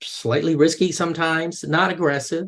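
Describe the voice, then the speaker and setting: The speaker is a man with an American accent. His pitch is fairly high. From US, grew up touring with circuses. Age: 60s. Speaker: mediator and coach. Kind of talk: interview, casual conversation. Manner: conversational, with frequent hesitations and repetitions.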